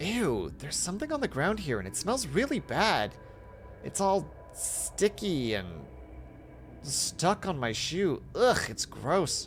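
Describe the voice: In a put-on character voice, a man speaks at a slow pace with big pitch swings and a fairly high pitch, faint music playing in the background.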